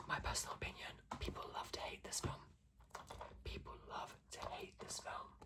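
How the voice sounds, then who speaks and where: Whispering at a moderate pace, broken by long, frequent pauses, over noticeable background noise. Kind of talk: ASMR ramble to camera. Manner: soft, casual, chatty.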